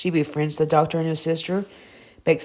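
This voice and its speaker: In a Southern US accent, a woman with a very deep, low pitch and a dark, mellow tone speaks with fairly even intonation. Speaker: TV review vlogger. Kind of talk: casual review monologue. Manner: halting, self-correcting.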